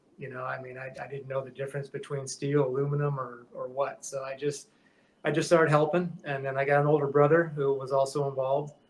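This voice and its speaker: A man with an American accent talks at a very fast pace in a fairly high, somewhat breathy voice, his intonation flat and monotone while his loudness swings widely. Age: 60s. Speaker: metal shaper, custom shop owner. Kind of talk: podcast interview. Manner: halting, many fillers and restarts; casual, conversational.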